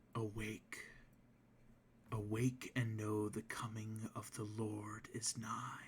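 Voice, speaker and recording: In a put-on character voice, a man whispers breathily at a very slow pace, leaving long, frequent pauses. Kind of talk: solemn, prophetic. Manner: whispering, eerie.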